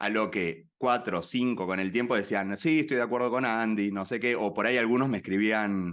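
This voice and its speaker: Talking at a moderate pace with a fairly low pitch and ordinary pitch variation, a man with a Rioplatense accent hardly pauses against a quiet background. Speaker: activist and platform cofounder. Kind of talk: interview conversation.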